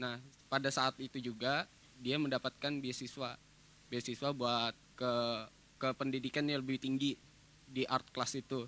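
With a bright, sharp tone and flat, monotone intonation, a man talks at a moderate pace, leaving long, frequent pauses, and the sound is dry with no echo. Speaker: workshop participant. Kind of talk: audience question. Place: hall. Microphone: handheld.

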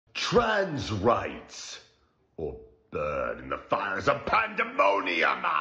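In a raspy, put-on character voice, a man speaks at a very slow pace. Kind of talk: comic overacting. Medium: fan dub.

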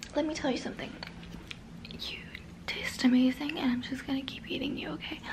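A soft-spoken woman whispering at a fairly quick pace, amid noticeable background noise. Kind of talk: role-play whisper-style talk to viewer. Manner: soft, intimate ASMR whisper. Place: home room.

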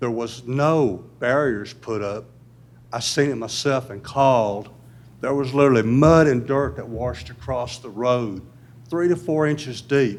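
The man has a Tennessee accent and a medium pitch with ordinary pitch variation. His loudness swings widely, and the room echo is audible. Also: fairly slow pace. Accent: Southern US (Tennessee). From US South. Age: 70s. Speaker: resident speaking at public comment. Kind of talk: public comment at city meeting. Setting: city board meeting.

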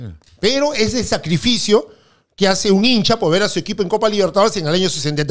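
Against a quiet background, a man talks very fast in a high voice with lively intonation. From Peru. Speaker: football pundit. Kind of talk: casual sports talk show. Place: studio. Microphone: studio mic.

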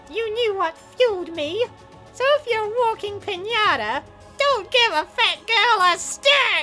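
Putting on a character voice, a woman speaks at an extremely high pitch with a bright, sharp tone and lively intonation, with faint music in the background. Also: fairly slow pace.

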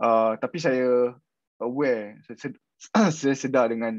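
A man speaks fairly slowly with fairly even intonation. The sound is dry with no echo, and the background is quiet. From Peninsular Malaysia. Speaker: PhD candidate researching political satire; candidate. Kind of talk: webinar presentation. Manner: halting, many repetitions. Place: home room. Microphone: video call.

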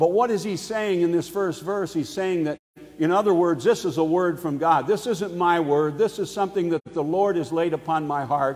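High-pitched male voice at a moderate pace. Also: ordinary pitch variation. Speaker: preacher. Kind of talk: sermon. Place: church.

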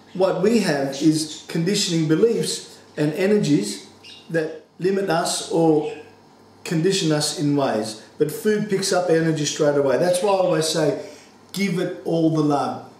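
This man talks at a fairly slow pace in a high voice with ordinary pitch variation. Room echo can be heard around him. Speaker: home cooking teacher. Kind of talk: tutorial. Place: kitchen.

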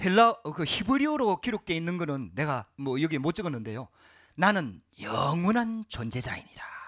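Over a quiet background, a high-pitched man speaks in an animated tone at a moderate pace with very wide pitch swings. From South Korea. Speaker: pastor. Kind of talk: sermon. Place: church. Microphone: handheld.

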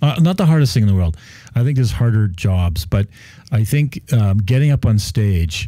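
With a Canadian accent, a man speaks at a fairly low pitch and a moderate pace, somewhat breathy and with lively intonation, in a dry sound with no echo against a quiet background. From Canada. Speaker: real estate developer. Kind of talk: casual chat. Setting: radio studio. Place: studio. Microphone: studio mic.

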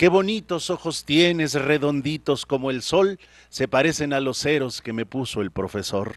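A man at a fairly slow pace, dry sound with no echo, quiet background. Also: lively intonation. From Hidalgo, Mexico. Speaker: poet. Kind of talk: interview answer. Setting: studio. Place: studio. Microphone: handheld.

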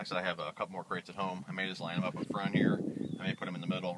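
A man at a very fast pace in a dry sound with no echo, under loud background noise. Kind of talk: casual tour commentary. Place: boat. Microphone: phone near.

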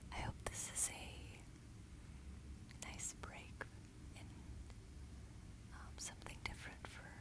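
A woman talking at a very slow pace, dry sound with no echo, loud background noise. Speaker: ASMR creator. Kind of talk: ASMR personal attention. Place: home room. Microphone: earbuds.

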